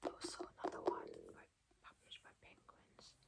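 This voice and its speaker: A fairly slow whisper. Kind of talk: ASMR book blurb reading. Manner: whispered, soft-spoken.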